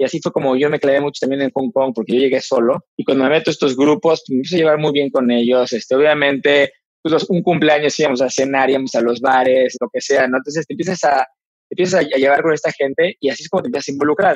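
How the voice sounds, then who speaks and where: Recorded dry and close with no echo, a man with a fairly high pitch and ordinary pitch variation speaks at a very fast pace. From Mexico. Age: 40s. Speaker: Ironman triathlete and businessman. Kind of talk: interview conversation.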